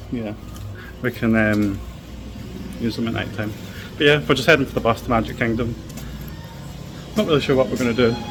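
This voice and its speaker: A man at a medium pitch with ordinary pitch variation, a fairly quick pace, long and frequent pauses, and noticeable background noise. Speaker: travel vlogger. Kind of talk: casual vlog chat. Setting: outdoors at theme park resort.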